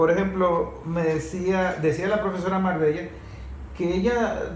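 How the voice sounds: The pace is fairly slow. Audible room echo surrounds the voice. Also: man.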